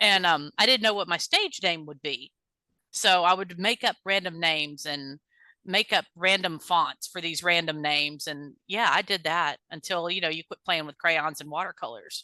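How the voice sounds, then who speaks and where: With a Texan accent, a woman talks at a moderate pace in a fairly low, bright, sharp voice with ordinary pitch variation and big swings in loudness, the sound dry and close with no echo over a quiet background. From Texas. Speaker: singer-songwriter. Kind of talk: interview. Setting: podcast interview. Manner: casual, chatty.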